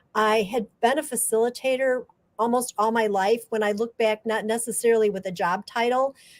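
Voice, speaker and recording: A woman speaks in a plain, everyday voice at a moderate pace, her fairly high pitch showing ordinary variation. The recording is very clean, with a silent background. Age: 60s. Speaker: graphic facilitator. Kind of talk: interview.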